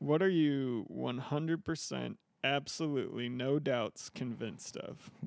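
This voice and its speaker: Here a man has a plain, everyday voice, fairly high in pitch, moving at a fairly slow pace with ordinary pitch variation. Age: 30s. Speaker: podcast host. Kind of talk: interview. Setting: studio.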